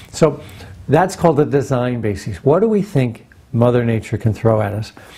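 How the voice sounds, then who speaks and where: A man's somewhat breathy voice, dark and mellow in tone, at a medium pitch, with lively intonation and a moderate pace. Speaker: nuclear engineer giving a presentation. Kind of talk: recorded presentation.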